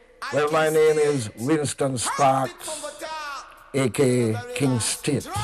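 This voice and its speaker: Music plays in the background as a man speaks at a very slow pace with ordinary pitch variation. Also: fairly high pitch for a man. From Jamaica, Kingston. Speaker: sound system DJ. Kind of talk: interview.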